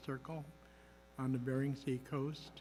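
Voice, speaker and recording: Over music in the background, a man with a fairly high pitch talks at a moderate pace in a monotone, flat intonation. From Alaska. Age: 70s. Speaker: boarding school survivor, advocate. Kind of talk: testimony. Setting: congressional hearing. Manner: halting.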